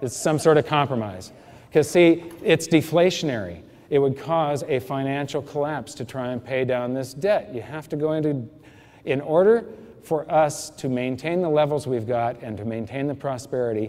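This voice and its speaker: A man with an ordinary speaking voice, a fairly high pitch, ordinary pitch variation and a moderate pace. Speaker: financial educator giving a seminar talk. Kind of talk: lecture.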